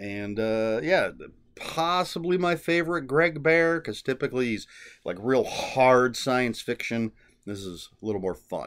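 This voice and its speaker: Over a quiet background, a man's pitch swings very widely. He talks at a fairly slow pace. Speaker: book vlogger. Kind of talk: casual vlog chat. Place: home room. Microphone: webcam.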